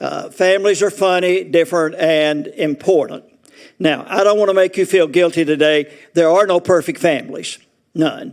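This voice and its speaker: Speaking at a moderate pace with a Southern US accent, a man uses a high pitch with ordinary pitch variation. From Arkansas. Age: 80s+. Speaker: retirement community resident speaker. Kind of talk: humorous talk to an audience. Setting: auditorium with audience.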